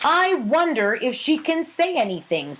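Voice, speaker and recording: A put-on character voice speaks at a moderate pace with high pitch. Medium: read story. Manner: hesitant.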